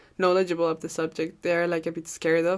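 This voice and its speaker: In a Spanish accent, a woman speaks at a fairly low pitch on a very clean recording with a silent background. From Peru, Cajamarca (Andes). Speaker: podcast host. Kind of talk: casual solo monologue. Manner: casual, laughing often.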